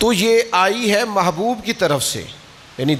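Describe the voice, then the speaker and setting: Lively intonation from a man, with noticeable noise in the background. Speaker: Islamic scholar giving a religious talk. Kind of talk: Islamic sermon (bayan) in Urdu. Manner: conversational, warm, with rhetorical questions.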